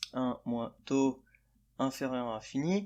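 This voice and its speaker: Speech unfolds at a very slow pace. The recording is very clean and the background silent. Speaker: math tutor. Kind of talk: math lecture explanation. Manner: hesitant, stammering with many fillers.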